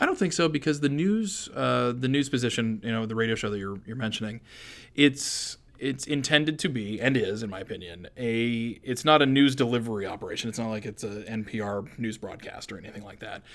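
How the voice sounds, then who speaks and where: An unremarkable speaking voice with an American accent moves at a fairly quick pace. Pitch variation is ordinary, while loudness swings widely. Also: man, medium pitch for a man. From Maine, US (Hampden). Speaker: think tank executive and radio host. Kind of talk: interview. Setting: studio.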